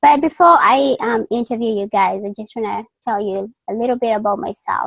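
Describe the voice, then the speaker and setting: A woman speaks with a Kenyan accent. Her pitch is fairly high. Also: dry, close sound with no echo. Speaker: college student and online interviewer. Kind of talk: interview. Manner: halting, many fillers.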